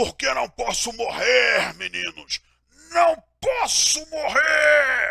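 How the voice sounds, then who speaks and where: A man puts on a character voice, raised and projected at an extremely high pitch, hoarse and raspy, and delivered at a very slow pace. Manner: fervent, intense.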